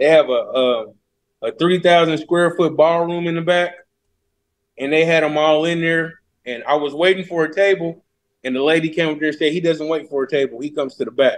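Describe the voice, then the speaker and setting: At a fairly quick pace, a man with an American accent talks in a fairly high pitch. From Indianapolis, Indiana, US Midwest; Indiana. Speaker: social media influencer and comedian; social media influencer, comedian. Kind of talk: interview. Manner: animated. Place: garage. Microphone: video call.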